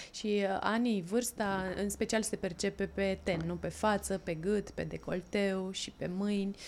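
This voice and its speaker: In a very clean recording with a silent background, a woman talks at a medium pitch and a fairly slow pace, in a monotone, flat intonation with hardly any pauses. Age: 30s. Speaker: podcast host. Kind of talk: interview.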